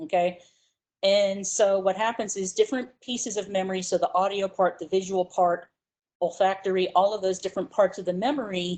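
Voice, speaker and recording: Pitch varies in an ordinary way across a normal speaking voice. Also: woman. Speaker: psychology instructor. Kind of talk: lecture.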